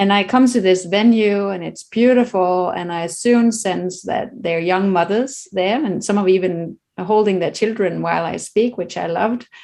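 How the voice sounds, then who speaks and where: With a Danish accent, a woman talks at a moderate pace with hardly any pauses. Her medium pitch carries ordinary variation and a dark, mellow tone. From Denmark. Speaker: children's meditation author. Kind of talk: casual interview conversation.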